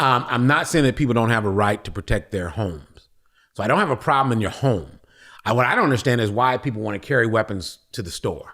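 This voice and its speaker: A loud, animated man at a very fast pace, medium in pitch with lively intonation and a bright, sharp tone, on a very clean recording with a silent background. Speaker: podcast guest. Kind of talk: casual discussion.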